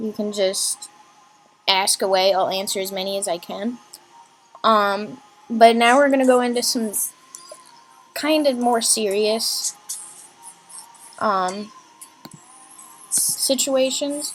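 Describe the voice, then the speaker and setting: A woman's fairly high voice at a very slow pace, with ordinary pitch variation, long, frequent pauses and music in the background. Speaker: live streamer. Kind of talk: live stream talk. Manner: halting.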